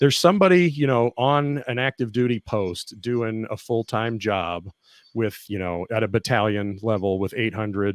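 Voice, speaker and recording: A man with an American accent and an unremarkable speaking voice talks at a moderate pace with ordinary pitch variation. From Kentucky, US. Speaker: physician assistant and army veteran. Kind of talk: interview.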